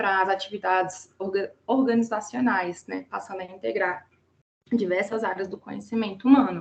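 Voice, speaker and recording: With ordinary pitch variation, a woman talks in a medium-pitched voice. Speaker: student presenting thesis defense. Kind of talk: academic presentation. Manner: halting, many fillers and restarts.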